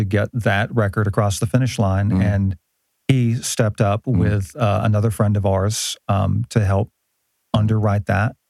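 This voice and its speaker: A man with an ordinary speaking voice, fairly low pitch, moderate pace, fairly even intonation and very even loudness, in a dry, close sound with no echo. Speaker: musician. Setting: studio. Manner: joking, playful.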